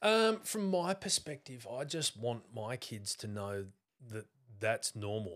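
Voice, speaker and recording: A man with an Australian accent, medium pitch, very slow pace and lively intonation. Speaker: athlete and Pilates instructor. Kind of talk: casual interview chat.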